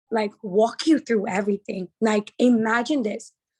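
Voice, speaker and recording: Animated and somewhat breathy, a woman with a New Jersey accent talks at a moderate pace in a fairly high pitch, the sound dry and close with no echo. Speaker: trading educator. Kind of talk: sales pitch.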